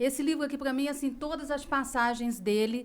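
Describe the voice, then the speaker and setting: A woman speaks at a moderate pace. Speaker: podcast host and company executive. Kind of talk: casual chat. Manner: firm; dry.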